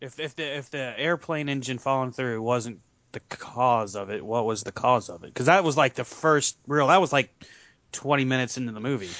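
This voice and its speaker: A man with an ordinary speaking voice talks at a fairly quick pace and medium pitch, ordinary pitch variation, and big swings in loudness. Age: 30s. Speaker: podcast co-host. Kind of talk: casual chat.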